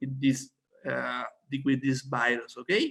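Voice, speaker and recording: The speaker is a man. His accent is Spanish. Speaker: doctor giving product training. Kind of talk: online presentation. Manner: halting.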